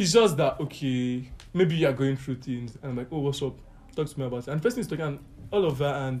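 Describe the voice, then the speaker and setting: A somewhat breathy man with a fairly high pitch, ordinary pitch variation, and a very fast pace. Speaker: friend of the host. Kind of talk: casual chat.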